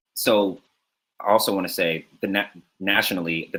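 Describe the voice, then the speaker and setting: With a very deep, low pitch and a bright, sharp tone, a man speaks in fairly even intonation. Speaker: education director at a VR company. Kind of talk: conference presentation. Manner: soft-spoken. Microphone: a little soft, better when leaning in.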